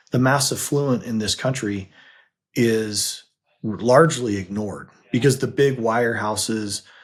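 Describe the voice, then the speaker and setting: A man talks in a normal speaking voice. The recording is very clean, with a silent background. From US, Utah. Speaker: financial advisor and podcast co-host. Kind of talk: casual chat.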